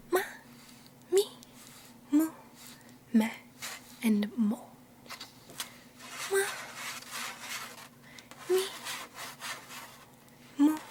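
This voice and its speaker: A soft-spoken woman at a high pitch, very wide pitch swings, a very slow pace and long, frequent pauses, with noticeable background noise. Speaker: Japanese language teacher (roleplay). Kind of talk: ASMR language lesson.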